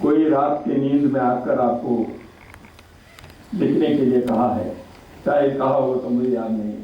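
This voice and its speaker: A man speaks at a medium pitch with long, frequent pauses. There is noticeable background noise and an audible room echo. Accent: Kannada. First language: Kannada (speaking Hindi). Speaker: chief guest speaker at book launch. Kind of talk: formal speech at book launch. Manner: formal.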